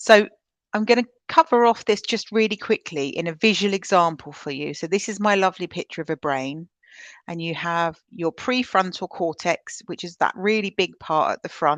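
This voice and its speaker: A woman with a British accent speaks at a moderate pace and medium pitch with ordinary pitch variation and big swings in loudness, the sound dry and close with no echo over a quiet background. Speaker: trauma-informed practice trainer. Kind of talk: webinar presentation. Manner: energetic, loud; conversational with filler ums.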